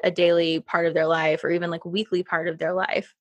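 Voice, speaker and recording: A woman speaks against a quiet background. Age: 30s. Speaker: podcast host. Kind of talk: casual chat. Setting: video call. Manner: animated.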